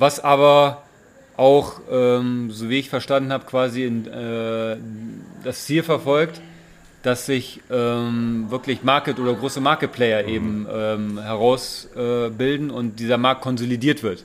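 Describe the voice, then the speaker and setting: Speaking very slowly, a man keeps a medium pitch with fairly even intonation. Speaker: hydrogen industry employee. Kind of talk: casual chat. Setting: informal holiday setting by the sea. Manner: halting, many fillers.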